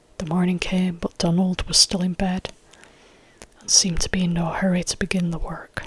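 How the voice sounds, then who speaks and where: Someone soft-spoken is whispering. There is noticeable background noise. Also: moderate pace. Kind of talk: ASMR folktale reading. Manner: soft-spoken, whispered.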